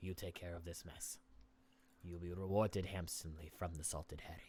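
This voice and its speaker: A man does a put-on character voice, very deep and low in pitch. His intonation stays monotone and flat, and his pace is fairly quick. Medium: actual play. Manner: haughty, commanding.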